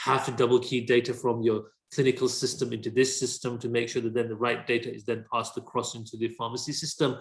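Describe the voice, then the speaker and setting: A man's somewhat breathy voice, monotone and flat in intonation, at a very fast pace. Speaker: software demonstrator. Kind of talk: software demo. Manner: repetitive, halting.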